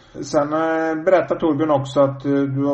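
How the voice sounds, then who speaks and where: A man, somewhat breathy, at a moderate pace, with audible room echo. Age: 50s. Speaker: podcast host. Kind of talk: casual interview. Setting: phone call.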